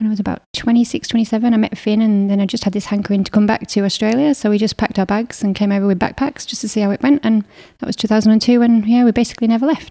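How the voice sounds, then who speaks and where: A woman with a northern English accent talks very fast, with hardly any pauses, in a dark, mellow tone and a fairly high pitch. Her intonation stays fairly even, and the recording is very clean with a silent background. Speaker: marathon runner and business co-founder. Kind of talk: casual interview chat.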